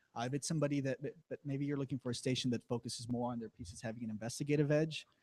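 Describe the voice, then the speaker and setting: A man's somewhat breathy, medium-pitched voice with an American accent, very fast, with ordinary pitch variation and a dry, close sound free of echo. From Rio Grande Valley, Texas. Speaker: TV news reporter. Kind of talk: panel Q&A with students. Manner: halting, many false starts.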